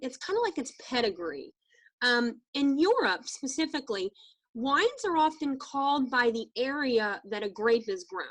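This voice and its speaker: Her voice is high and swings very widely in pitch. The woman keeps a moderate pace. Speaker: wine tasting trainer. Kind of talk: training presentation. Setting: video call.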